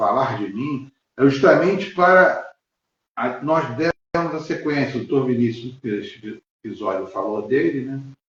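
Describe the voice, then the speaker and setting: At a fairly slow pace, a somewhat breathy voice carries lively intonation. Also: man, medium pitch for a man. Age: 60s. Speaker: lawyer and physical education teacher. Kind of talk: interview on a live stream. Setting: live stream video call. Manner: halting, many fillers.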